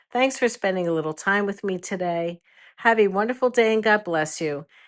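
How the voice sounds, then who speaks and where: A woman with an unremarkable speaking voice talks fairly quickly in a medium pitch with ordinary pitch variation, on a very clean recording with a silent background. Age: 60s. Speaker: retired grandmother, lifestyle podcaster. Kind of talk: cozy podcast chat to listeners. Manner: warm, gentle.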